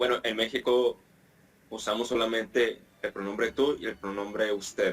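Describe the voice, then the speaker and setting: A man with a northern Mexican accent speaks with monotone, flat intonation. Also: medium pitch for a man, moderate pace. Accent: northern Mexican (norteño) Spanish. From Mexico, Monterrey (northeast). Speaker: Spanish teacher. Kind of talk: interview.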